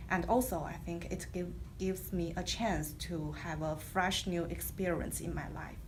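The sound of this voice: Here a woman speaks at a fairly slow pace. Her intonation is fairly even. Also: fairly low pitch for a woman.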